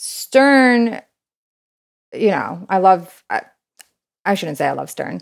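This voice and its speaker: A woman speaks with an American accent. She goes very slowly, with long, frequent pauses. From Brooklyn, New York. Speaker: business developer. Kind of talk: casual interview.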